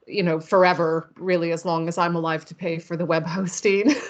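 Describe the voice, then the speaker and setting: This woman has a normal speaking voice and a fairly low pitch, with an American accent. She keeps a moderate pace, and her loudness swings widely. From United States. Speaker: horror author. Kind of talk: interview.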